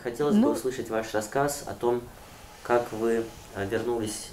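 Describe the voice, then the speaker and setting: Over noticeable background noise, a man's voice comes through. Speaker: interviewer. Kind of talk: formal interview questions.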